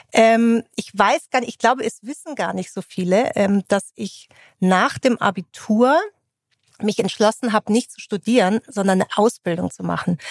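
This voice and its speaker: A woman's plain, everyday voice at a moderate pace, with ordinary pitch variation, big swings in loudness, and a dry, close sound with no echo. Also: fairly high pitch for a woman. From Bavaria, Munich area. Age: 40s. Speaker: HR executive. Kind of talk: interview conversation. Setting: company office.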